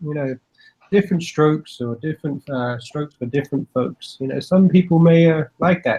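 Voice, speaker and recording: Recorded with a dry, close sound and no echo, a man speaks at a moderate pace in a dark, mellow tone with a fairly high pitch. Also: ordinary pitch variation. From Britain. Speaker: gun enthusiast panelist. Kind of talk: casual chat.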